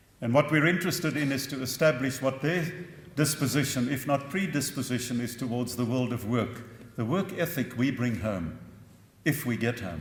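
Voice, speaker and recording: With audible room echo, a man talks at a medium pitch and a moderate pace, with ordinary pitch variation. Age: 60s. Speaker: professor. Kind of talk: conference talk.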